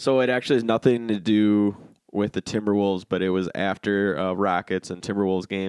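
A man speaks in a plain, everyday voice. His pitch is fairly low, his pace fairly quick and his intonation fairly even. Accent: American. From Minnesota, Winona. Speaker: high school sports recruiting writer. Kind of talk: casual chat.

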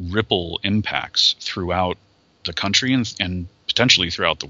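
In an American accent, a man with a normal speaking voice talks at a moderate pace with ordinary pitch variation. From Ohio, Cleveland. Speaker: environmental conservation worker. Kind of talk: interview conversation.

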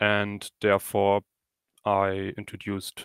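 The recording is very clean and the background silent. A man does the talking. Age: 20s. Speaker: student and app developer. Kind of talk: technical interview with software demo. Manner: hesitant, with frequent fillers.

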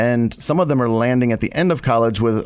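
With an American accent, a man speaks fairly quickly in a plain, everyday voice at medium pitch with ordinary pitch variation. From Ohio. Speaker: nonprofit executive director. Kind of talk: radio interview. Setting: studio.

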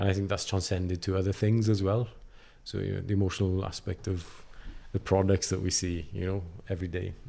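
With a South Wales accent, a man speaks fairly quickly in a very deep, low voice that is dark, mellow and somewhat breathy, his intonation monotone and flat. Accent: South Wales Welsh English. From Wales, Carmarthenshire. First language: Welsh. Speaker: designer. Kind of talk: casual interview.

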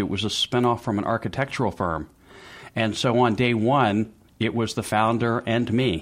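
A man with an American accent and an ordinary speaking voice, medium in pitch, at a fairly quick pace, on a very clean recording with a silent background. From US South, Memphis, Tennessee. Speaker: business advisor to entrepreneurs, former lawyer. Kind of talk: interview.

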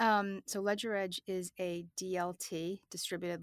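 A woman with an ordinary speaking voice talks at a fairly low pitch with fairly even intonation. The recording is very clean with a silent background, and the sound is dry and close with no echo. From Massachusetts South Shore (Hanover). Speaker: fintech executive. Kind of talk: interview.

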